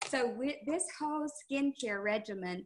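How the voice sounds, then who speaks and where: Speaking at a very slow pace, a woman uses a bright, sharp tone. Her intonation is lively. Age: 60s. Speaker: skincare sales consultant; presenter. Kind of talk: product talk on a team call. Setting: video call. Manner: hesitant, many fillers. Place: home room. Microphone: webcam.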